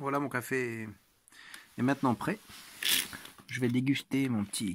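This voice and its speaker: A man's voice with ordinary pitch variation. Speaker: vlogger. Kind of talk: casual vlog narration.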